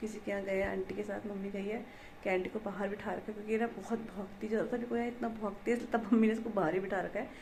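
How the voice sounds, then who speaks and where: A soft-spoken woman at a medium pitch with a monotone, flat intonation, plus noticeable background noise and audible room echo. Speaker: vlogger. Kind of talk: casual vlog narration.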